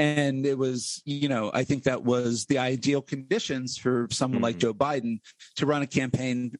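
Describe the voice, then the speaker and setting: In an unremarkable speaking voice with an American accent, a man talks at a fairly slow pace, medium in pitch with ordinary pitch variation, in a dry, close sound with no echo. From central Pennsylvania, US. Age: 40s. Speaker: political podcast host, guest here. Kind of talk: casual political discussion.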